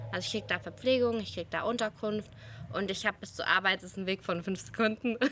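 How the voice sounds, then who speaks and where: A woman's bright, sharp voice at medium pitch, very fast, with fairly even intonation and vocal fry. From Germany, near Heidelberg (Baden-Württemberg). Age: 20s. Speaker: disaster relief volunteer and politics student. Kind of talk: interview. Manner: hesitant, many filler sounds.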